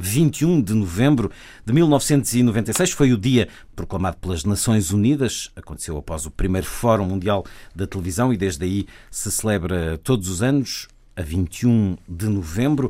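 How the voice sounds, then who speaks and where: Over a silent background on a very clean recording, a man speaks at a fairly slow pace. His fairly low voice has a dark, mellow tone and lively intonation. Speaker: radio host. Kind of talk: radio panel discussion.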